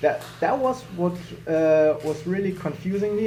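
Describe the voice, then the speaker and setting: This is a man with a German accent. His pitch varies in an ordinary way. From Germany. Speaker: juggler. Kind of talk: casual video commentary.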